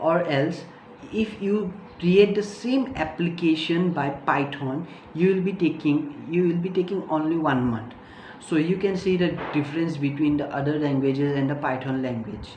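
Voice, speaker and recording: A woman speaks with a very deep, low pitch and lively intonation at a moderate pace. Noticeable background noise and audible room echo surround her voice. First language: not English. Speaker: tech youtuber. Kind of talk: tutorial. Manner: halting, many fillers.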